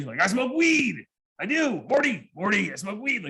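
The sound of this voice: Using a put-on character voice, a man speaks at a high pitch and a moderate pace.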